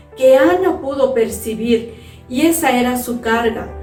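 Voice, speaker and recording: Music plays in the background as a woman speaks in a high voice. Her intonation is lively and her pace fairly slow. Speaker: pastor's wife and church teacher. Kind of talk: sermon / Bible teaching to women.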